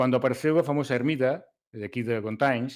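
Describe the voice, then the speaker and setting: A man with a non-native accent, medium pitch and fairly even intonation at a moderate pace, in a very clean recording with a silent background. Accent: foreign accent in Portuguese. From Galicia, Spain. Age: old. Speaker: race organizer. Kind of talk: casual chat. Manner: hesitant, many fillers.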